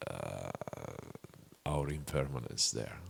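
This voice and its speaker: Speaking with a non-native accent, a man is heard. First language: not English. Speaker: Buddhist meditation teacher. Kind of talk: dharma talk Q&A answer. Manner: halting.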